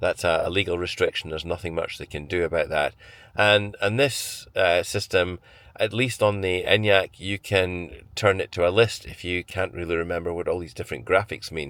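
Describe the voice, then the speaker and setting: Talking at a moderate pace in a Scottish accent, a man is heard on a very clean recording with a silent background. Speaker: car reviewer. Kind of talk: vlog walkthrough. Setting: in a car. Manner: conversational with hesitations.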